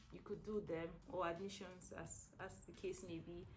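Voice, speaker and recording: A woman with a Nigerian accent and vocal fry, at a fairly slow pace, with audible room echo. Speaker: stroke rehab nurse. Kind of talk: interview. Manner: hesitant, many fillers.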